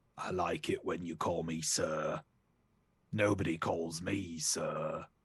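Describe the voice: A man puts on a character voice that is very deep and raspy, speaking at a fairly slow pace.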